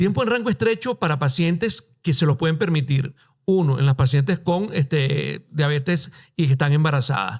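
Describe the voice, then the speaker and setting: With a Caracas accent, a man talks at a moderate pace in a fairly high, somewhat breathy voice, his intonation lively and his loudness very even. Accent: Venezuelan Spanish (Caracas). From Venezuela, Caracas. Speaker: endocrinologist. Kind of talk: podcast interview.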